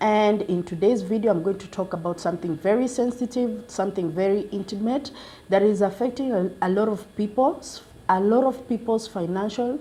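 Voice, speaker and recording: A woman's medium-pitched voice with a dark, mellow tone, lively intonation and moderate pace. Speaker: YouTube channel host. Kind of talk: informational vlog talk. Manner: halting, with fillers and restarts.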